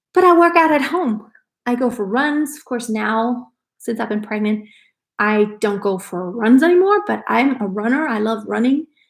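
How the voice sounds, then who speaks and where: In a very clean recording with a silent background, a woman with an ordinary speaking voice talks at a moderate pace, her fairly high pitch moving in lively intonation and her loudness swinging widely. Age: 40s. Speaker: lifestyle vlogger. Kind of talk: live stream casual chat. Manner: casual, conversational.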